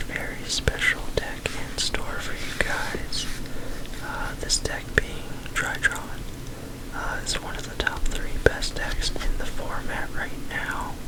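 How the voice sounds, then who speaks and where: Someone is whispering at a very slow pace over noticeable background noise. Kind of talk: ASMR deck profile and tutorial. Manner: whispered.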